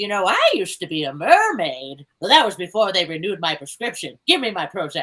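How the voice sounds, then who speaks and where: A female-sounding voice puts on a character voice at medium pitch. It moves at a fairly quick pace with hardly any pauses. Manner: sassy, wry.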